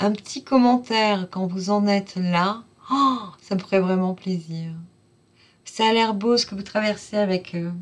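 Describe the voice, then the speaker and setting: A fairly slow pace with a warm, enthusiastic tone, ordinary pitch variation and long, frequent pauses. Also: woman, medium pitch for a woman. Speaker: oracle card reader. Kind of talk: channel outro of a card reading.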